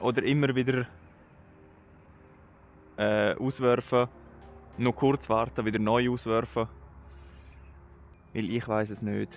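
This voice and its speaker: Over music in the background, a man with a Swiss accent speaks at a very slow pace with long, frequent pauses and fairly even intonation. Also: medium pitch for a man. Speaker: angler. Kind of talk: casual vlog talk to camera. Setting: outdoors.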